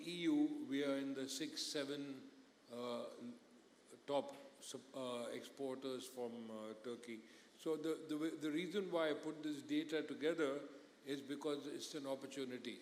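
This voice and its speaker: A fairly high-pitched man with fairly even intonation at a moderate pace, with long, frequent pauses and audible room echo. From India. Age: 60s. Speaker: business executive. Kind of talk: conference panel interview.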